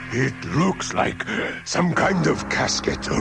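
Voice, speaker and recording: A man's put-on character voice, fairly high-pitched and very slow, amid loud background noise. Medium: read story. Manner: chattering, nervous.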